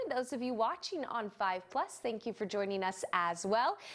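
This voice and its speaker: Her intonation lively and her pitch fairly high, a woman with an unremarkable speaking voice keeps a moderate pace. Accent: American. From Saint Louis, Missouri. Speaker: TV lifestyle show host. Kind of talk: TV show opening welcome to camera. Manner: upbeat, friendly.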